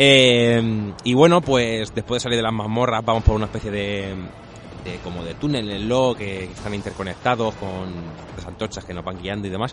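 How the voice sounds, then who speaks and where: Against noticeable background noise, a man with a fairly low pitch speaks at a moderate pace, with ordinary pitch variation and big swings in loudness. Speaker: video game podcast co-host. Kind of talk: casual chat.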